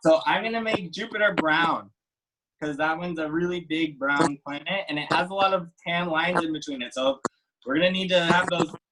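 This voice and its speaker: A man with an ordinary speaking voice talks at a fairly quick pace and a fairly high pitch. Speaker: art teacher. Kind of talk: tutorial.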